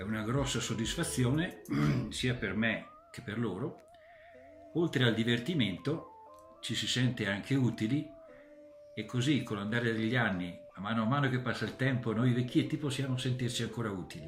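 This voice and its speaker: Over music in the background and audible room echo, a man at a medium pitch talks at a moderate pace with ordinary pitch variation and long, frequent pauses. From Trentino, northern Italy. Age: 60s. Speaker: volunteer ski companion. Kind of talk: interview testimony.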